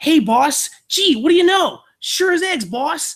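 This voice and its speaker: Someone uses a put-on character voice with an extremely high pitch, speaking at a fairly slow pace. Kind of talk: old-timey slang.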